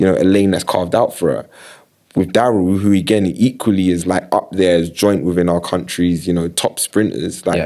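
At a fairly quick pace, a man with a South London accent speaks in a very deep, low pitch with a dark, mellow tone and fairly even intonation. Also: quiet background. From South London, Battersea. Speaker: creative director and sports marketing agency founder; podcast guest. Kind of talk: casual interview chat. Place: studio. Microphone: studio mic.

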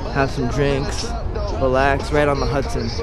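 Music plays in the background as a man speaks at a moderate pace. The sound is dry with no echo. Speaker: vlogger. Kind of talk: casual vlog chat. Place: waterside. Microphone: phone near.

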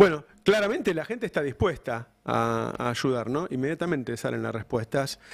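A man talks in a Rioplatense accent with hardly any pauses. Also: moderate pace, quiet background. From Argentina. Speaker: news channel host. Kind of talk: live political interview. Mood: reflective, frustrated in places. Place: studio. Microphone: studio mic.

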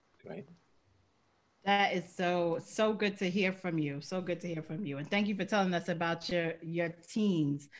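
With an ordinary speaking voice, a woman talks at a moderate pace in a fairly low pitch, her intonation fairly even. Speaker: foundation executive and show host. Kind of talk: interview hosting. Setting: video call.

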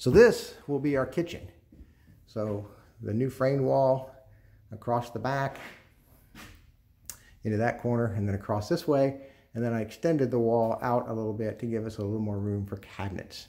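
At a moderate pace, a man speaks in a dark, mellow tone with ordinary pitch variation and long, frequent pauses. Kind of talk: walkthrough narration. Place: home room. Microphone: phone near.

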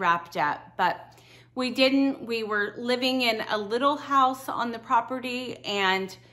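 A woman's bright, sharp voice with ordinary pitch variation. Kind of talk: casual vlog chat. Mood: warm, friendly. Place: home room. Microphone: lapel.

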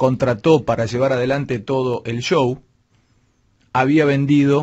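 Against a quiet background, a man with a fairly high pitch talks at a very slow pace. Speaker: radio host. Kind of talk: radio commentary, opinionated rant. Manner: sarcastic, rhetorical, mocking. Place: studio. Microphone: studio mic.

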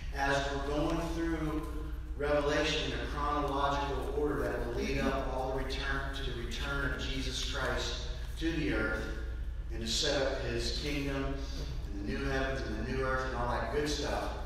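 Amid light background noise and strong room echo, the voice moves at a moderate pace. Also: man. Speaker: pastor. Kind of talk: sermon. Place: church. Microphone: camera far.

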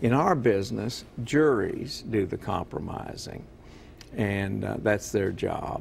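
The speech moves at a very slow pace. There is light background noise. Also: man, lively intonation. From military family, moved around; grew up largely in Kentucky. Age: 70s. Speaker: retiring county prosecutor; interview guest. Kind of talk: TV interview. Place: studio.

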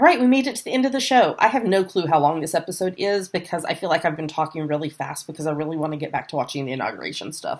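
At a very fast pace with hardly any pauses, a woman speaks in a fairly low voice with very wide pitch swings. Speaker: podcast host. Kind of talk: casual chat. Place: home room. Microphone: webcam.

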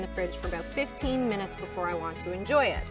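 A woman speaks at a fairly quick pace with clear music in the background. The sound is dry with no echo. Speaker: wine expert host. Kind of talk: tutorial. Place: open country.

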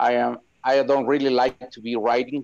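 A man with a Spanish accent talks at a moderate pace, the sound dry with no echo and the background quiet. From Guatemala. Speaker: agricultural engineer. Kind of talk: casual chat. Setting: video call. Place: home room. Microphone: video call.

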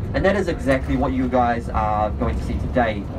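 The speech moves at a fairly quick pace, with noticeable background noise throughout. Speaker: tour bus guide. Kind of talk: tour guide commentary. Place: bus.

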